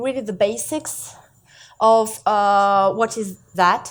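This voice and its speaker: A woman with a French accent, very slow pace and lively intonation, on a very clean recording with a silent background. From France. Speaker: seminar presenter, shader coder. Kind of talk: live technical lecture. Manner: halting, many fillers.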